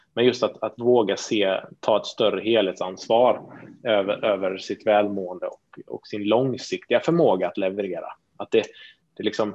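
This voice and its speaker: An unremarkable speaking voice from a man, fairly low in pitch, with fairly even intonation at a moderate pace. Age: 30s. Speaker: entrepreneur. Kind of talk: interview.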